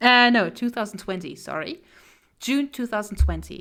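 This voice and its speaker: Over a silent background in a very clean recording, a woman with a fairly high pitch speaks at a fairly slow pace. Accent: non-native. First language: not English. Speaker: streamer and artist. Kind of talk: casual live stream chat. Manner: halting, frequent repetitions.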